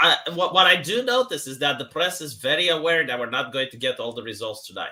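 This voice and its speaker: Very fast and lively, a man with a Romanian accent speaks at a fairly high pitch, his loudness swinging widely. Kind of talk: casual chat.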